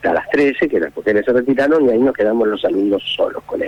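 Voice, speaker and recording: The speaker is a man. Noticeable background noise runs beneath his voice. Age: 70s. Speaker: former student recalling a teacher. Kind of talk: interview testimony. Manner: hesitant, many fillers.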